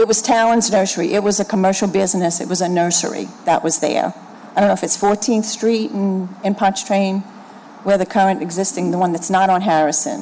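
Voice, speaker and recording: Noticeable background noise fills the clip. Over it, a woman speaks at a fairly quick pace. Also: medium pitch for a woman, fairly even intonation. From New Orleans, Lakeview. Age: 60s. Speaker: resident speaking at public hearing. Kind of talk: public hearing testimony. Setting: city planning commission hearing.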